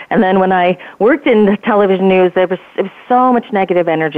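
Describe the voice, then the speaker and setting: A woman speaks at a very fast pace. Her medium-pitched voice has lively intonation. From New Jersey. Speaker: publicist. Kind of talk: conversational radio interview. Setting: phone call.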